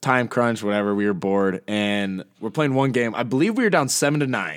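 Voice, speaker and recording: An unremarkable speaking voice, a man at a fairly quick pace with lively intonation, very clean recording and silent background. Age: 20s. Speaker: podcast co-host. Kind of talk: casual chat.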